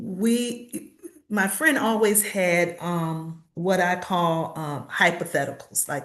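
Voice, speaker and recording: With an American accent, a woman talks at a very slow pace in a fairly low pitch with lively intonation. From Virginia, US South. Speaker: author. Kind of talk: interview. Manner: halting.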